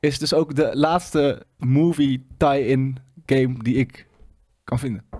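Over a quiet background comes a man's fairly high-pitched voice. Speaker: gaming show host. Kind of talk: casual chat. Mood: relaxed, enthusiastic. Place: studio. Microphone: studio mic.

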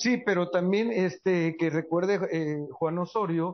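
At a fairly slow pace, a man speaks with a high pitch. His intonation is fairly even. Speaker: entertainment journalist panelist. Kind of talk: panel chat. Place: studio.

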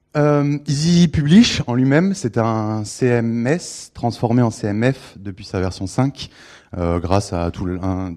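On a very clean recording with a silent background, a man speaks with a fairly low pitch. His tone is dark and mellow, his intonation lively. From Bordeaux, France. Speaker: PHP consultant and trainer. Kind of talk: conference talk. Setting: stage with audience and microphone. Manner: hesitant, many fillers.

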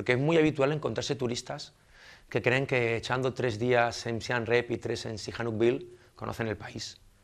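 His pitch moves in an ordinary way. The man keeps a moderate pace. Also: quiet background. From southern Spain, Almería; southern Spain. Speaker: expatriate interviewee; interviewee. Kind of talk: interview. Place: studio.

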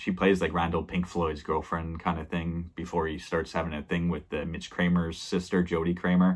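A man talks at a fairly quick pace. His pitch is very deep and low. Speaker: film reviewer. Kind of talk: casual vlog chat. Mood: relaxed, laughing at times. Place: home room. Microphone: webcam.

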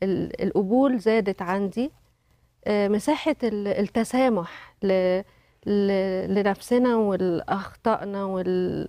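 A woman speaks very slowly at a medium pitch in a dark, mellow tone. The sound is dry with no echo, and the background is quiet. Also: ordinary pitch variation. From Egypt. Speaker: company director and widow; talk show guest. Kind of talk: testimony. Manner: halting. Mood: calm, thoughtful. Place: studio. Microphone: lapel.

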